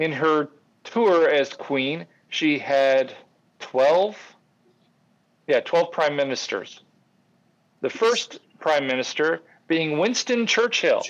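Slowly, with long, frequent pauses, a man speaks in an American accent at a fairly high pitch. His intonation is lively, and his loudness stays very even. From Grand Rapids, Michigan. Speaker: producer, co-host.

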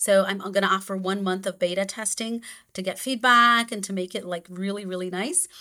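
A woman with a Portuguese accent speaks at a fairly quick pace in a medium pitch. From Brazil. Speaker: expat coach and intercultural psychologist. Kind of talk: interview. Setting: video call.

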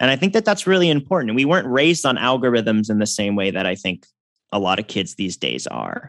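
Against a quiet background, a man of medium pitch talks at a very fast pace. His voice has vocal fry and swings very widely in pitch. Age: 30s. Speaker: musician and electrical engineer. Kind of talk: interview conversation.

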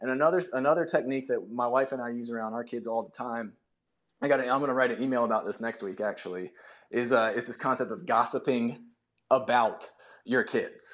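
A man's voice at a fairly quick speed, an ordinary speaking voice, pitched in the middle range with the usual amount of pitch movement. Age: 30s. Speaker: podcaster making children's stories. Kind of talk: casual chat. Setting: home office, remote audio space.

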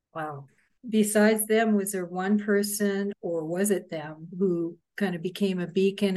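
A woman speaks at a moderate pace and a medium pitch. Her tone is dark and mellow, and her intonation stays fairly even. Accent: Canadian. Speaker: podcast host and journalist. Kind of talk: interview. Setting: video call.

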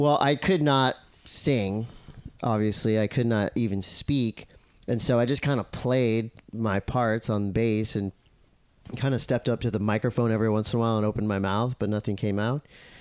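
A man speaks in a Southern California accent at a medium pitch and moderate pace, with fairly even intonation and very even loudness. The sound is dry and close with no echo, in a very clean recording with a silent background. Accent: Southern California surfer. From US West Coast, Encinitas, California. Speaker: surf commentator and former pro surfer. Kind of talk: casual chat.

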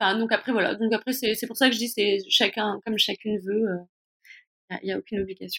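In a dry, close sound with no echo, a woman with a fairly high pitch speaks fairly quickly in a flat monotone, her bright, sharp tone split by long, frequent pauses. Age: 40s. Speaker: women's health coach. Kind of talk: interview.

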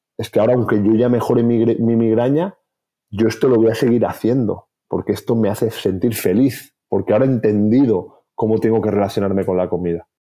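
An ordinary speaking voice moves at a fairly quick pace with fairly even intonation. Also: man, medium pitch for a man. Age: 40s. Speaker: health author and clinician. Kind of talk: interview.

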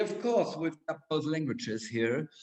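In a German accent, a man speaks at a fairly slow pace with a fairly high pitch and very wide pitch swings. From Germany. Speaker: school director. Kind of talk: interview. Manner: halting.

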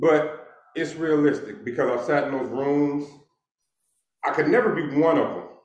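A man with an American accent speaks at a fairly high pitch and a fairly slow pace, with audible room echo. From Los Angeles, Inglewood. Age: 50s. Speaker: author and former criminal. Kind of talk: casual interview.

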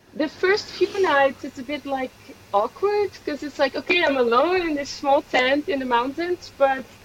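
Over noticeable background noise, a woman with a Dutch accent and a high pitch speaks at a moderate pace with ordinary pitch variation. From Netherlands. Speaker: hiker. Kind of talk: interview. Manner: hesitant, many fillers.

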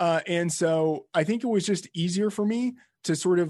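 A man with an American accent speaks fairly slowly in an unremarkable speaking voice, with ordinary pitch variation against a quiet background. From Texas. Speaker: fantasy sports editor. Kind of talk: casual interview.

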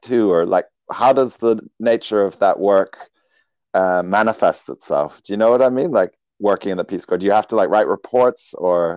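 A man with a dark, mellow tone speaks at a moderate pace with ordinary pitch variation, in a dry, close sound with no echo and a quiet background. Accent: New Zealand. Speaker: podcast host. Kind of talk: interview. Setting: video call. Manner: loud.

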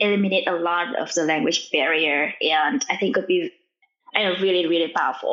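This is a woman's voice. She speaks with a Vietnamese accent. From Vietnam, small village. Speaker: machine learning engineer and startup founder. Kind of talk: interview. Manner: fast.

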